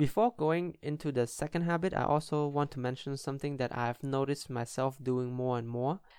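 At a fairly quick pace with hardly any pauses, a man with an ordinary speaking voice talks at a fairly high pitch with fairly even intonation. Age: 20s. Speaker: podcast host and futsal player. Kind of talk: solo podcast monologue.

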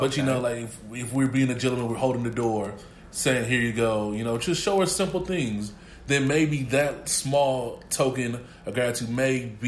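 Moderate pace and ordinary pitch variation, with audible room echo and noticeable background noise. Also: man. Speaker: college student co-host. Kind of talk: casual chat.

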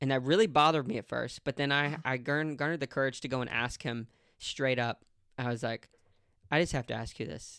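Bright and sharp in tone, a man's medium-pitched voice moves at a fairly quick pace with ordinary pitch variation in a dry, close sound with no echo. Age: 30s. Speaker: podcast host. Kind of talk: casual interview chat.

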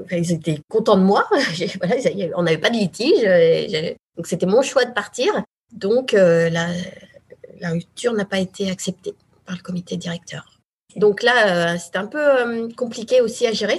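A woman speaks at a very slow pace in a somewhat breathy, medium-pitched voice. Her intonation is lively. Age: 40s. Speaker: former journalist turned real estate agent. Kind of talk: interview about her career change.

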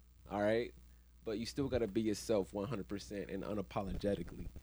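A man is talking. Vocal fry runs through his voice. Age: 30s. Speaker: podcast co-host. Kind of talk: casual chat.

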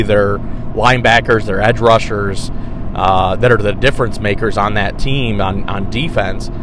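A man with an American accent at a moderate pace, with lively intonation, audible room echo and noticeable background noise. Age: 30s. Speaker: sports podcast host. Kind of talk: solo sports commentary podcast.

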